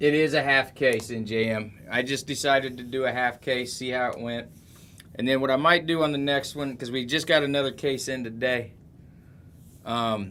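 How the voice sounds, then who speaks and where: A man with an American accent speaks at a moderate pace and medium pitch. His tone is bright and sharp, his intonation fairly even. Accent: rural twang, people struggle to understand. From southwest Ohio, Middletown. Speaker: sports card breaker, live streamer. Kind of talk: live stream card break chat. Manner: casual, chatty.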